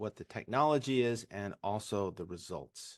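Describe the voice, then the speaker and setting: A man at medium pitch with a Californian accent and lively intonation, quiet background. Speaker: urologist. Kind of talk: webinar presentation.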